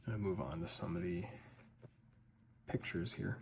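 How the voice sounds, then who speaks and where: With a very deep, low pitch and vocal fry, a man talks in very wide pitch swings. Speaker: ASMR / lore content creator. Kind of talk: ASMR lore read and ramble. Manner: soft-spoken.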